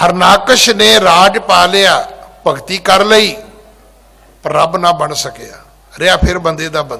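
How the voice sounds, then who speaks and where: A raised, projected voice from a man, high in pitch, with ordinary pitch variation, long, frequent pauses and noticeable background noise. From rural Punjab. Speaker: Sikh preacher / head granthi. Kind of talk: religious discourse (katha). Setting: gurdwara.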